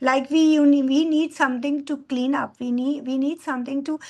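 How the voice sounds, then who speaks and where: A woman speaks with an Indian accent. Her pitch is high. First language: Hindi. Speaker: bioenzyme trainer. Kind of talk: talk to an online course. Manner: halting.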